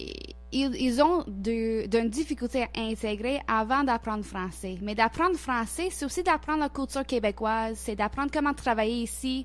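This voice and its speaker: A woman speaks with an English-Canadian accent. Her pace is moderate. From Nova Scotia, Canada (Halifax). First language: English (speaking French). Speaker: intercultural organization worker. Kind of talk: radio interview. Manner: halting, many repetitions and hesitations.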